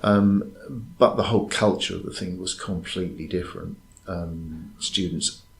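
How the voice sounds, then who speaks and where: A man's very deep, low voice in an English accent, somewhat breathy, with monotone, flat intonation. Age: 60s. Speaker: university lecturer. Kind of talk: interview. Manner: hesitant.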